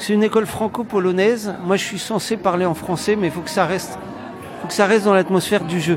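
With crowd noise behind him and audible room echo, a man speaks very fast at a high pitch with ordinary pitch variation. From France. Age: 30s. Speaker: community project organizer. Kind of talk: interview. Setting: recorded on location. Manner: halting, many fillers.

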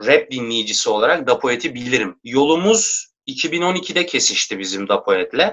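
A man talks at a fairly slow pace with fairly high pitch. He uses an ordinary speaking voice. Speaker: rapper. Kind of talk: casual chat.

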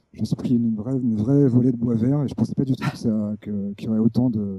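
The speech comes at a very fast pace with fairly even intonation, recorded with a dry, close sound and no echo. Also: man. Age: 30s. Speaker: video editor and essayist. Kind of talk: interview discussion. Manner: halting, many repetitions.

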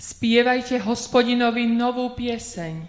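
Her fairly high pitch and fairly slow pace mark this woman's unremarkable speaking voice. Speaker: lay scripture reader. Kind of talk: reading aloud. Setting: church.

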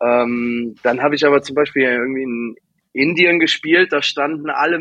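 A man's normal speaking voice, fairly high in pitch, with ordinary pitch variation and a fairly slow pace. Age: 30s. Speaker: DJ and label owner. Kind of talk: casual interview.

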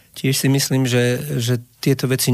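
A man speaks at a moderate pace. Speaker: singer-songwriter. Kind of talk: radio interview. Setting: radio studio.

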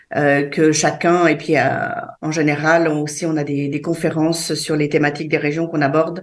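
An unremarkable speaking voice at a moderate pace. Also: woman. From France, Savoie, Sardinian parents.

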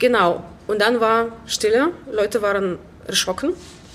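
The woman speaks at a fairly high pitch. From Belarus, Minsk. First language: Russian or Belarusian (speaking German). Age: 20s. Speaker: musician and choir organiser. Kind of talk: casual interview. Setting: gallery venue.

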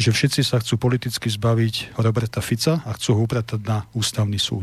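This man's voice is somewhat breathy. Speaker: presidential candidate. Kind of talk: political interview. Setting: studio. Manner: formal.

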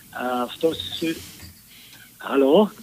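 A man speaks with ordinary pitch variation while noticeable background noise runs underneath. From Bratislava. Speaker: caller. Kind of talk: phone-in call.

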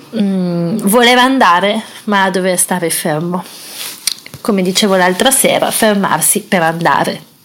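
Noticeable background noise accompanies a woman speaking at a fairly slow pace and medium pitch. She uses ordinary pitch variation and leaves long, frequent pauses. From Italy. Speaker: pilgrim travel podcaster. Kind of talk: audio travel diary. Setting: resting at a convent-run villa.

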